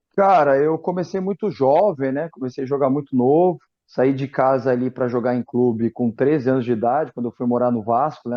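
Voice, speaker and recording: An ordinary speaking voice moves at a fairly quick pace with ordinary pitch variation and hardly any pauses. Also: man. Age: 40s. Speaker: football coach, former goalkeeper. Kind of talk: interview.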